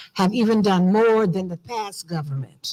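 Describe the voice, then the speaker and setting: In a very clean recording with a silent background, a woman with an American accent speaks at a medium pitch with ordinary pitch variation. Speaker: diaspora organization leader. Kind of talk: conference speech. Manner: animated.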